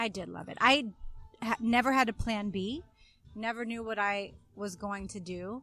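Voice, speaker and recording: A woman's fairly high voice at a moderate pace, with ordinary pitch variation and big swings in loudness, music playing in the background. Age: 30s. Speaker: Broadway performer. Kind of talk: casual chat.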